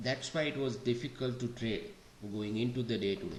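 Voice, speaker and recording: Quiet speech at a fairly slow pace, with ordinary pitch variation and audible room echo. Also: man. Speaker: day trading educator. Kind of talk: market analysis walkthrough. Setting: home recording. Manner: slow, quiet.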